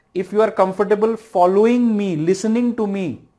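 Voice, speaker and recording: The speaker has an Indian accent and keeps a moderate pace. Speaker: civil services exam lecturer. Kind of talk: online lecture.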